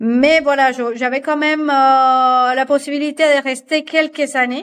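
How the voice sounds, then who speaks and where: The speaker has a Spanish accent. Intonation stays fairly even. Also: woman. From Colombia, Barranquilla. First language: Spanish (speaking French). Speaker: fashion designer and patternmaker. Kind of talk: podcast interview. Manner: halting, many repetitions and fillers.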